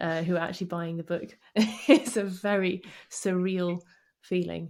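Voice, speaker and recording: A woman speaks in a dark, mellow tone with fairly even intonation, on a very clean recording against a silent background. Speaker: author and scrum master. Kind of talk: podcast interview.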